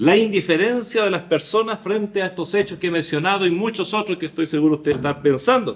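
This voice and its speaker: Speaking at a very fast pace with hardly any pauses, a man uses a high pitch with ordinary variation. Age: 60s. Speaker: pastor. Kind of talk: sermon.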